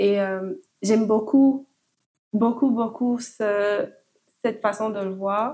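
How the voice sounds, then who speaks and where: A woman's dark, mellow tone at a fairly high pitch, with ordinary pitch variation, a very slow pace and long, frequent pauses. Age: 20s. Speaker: podcast guest. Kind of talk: casual chat. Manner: halting.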